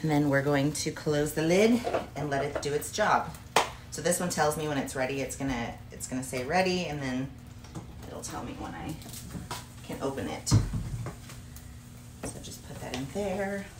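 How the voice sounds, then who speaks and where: A woman with a very deep, low pitch, plus noticeable background noise and audible room echo. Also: ordinary pitch variation, fairly slow pace. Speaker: fitness vlogger, bodybuilder. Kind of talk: cooking tutorial. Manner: casual, chatty.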